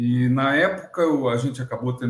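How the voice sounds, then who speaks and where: A somewhat breathy man at medium pitch and moderate pace. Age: 60s. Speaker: agronomy consultant and professor. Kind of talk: interview storytelling.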